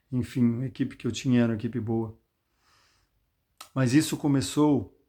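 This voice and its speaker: In a very clean recording with a silent background, a man speaks at a moderate pace with medium pitch, a dark, mellow tone and fairly even intonation. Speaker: lay preacher. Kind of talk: Bible talk with personal testimony. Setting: self-recorded video. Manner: conversational, addresses listeners directly.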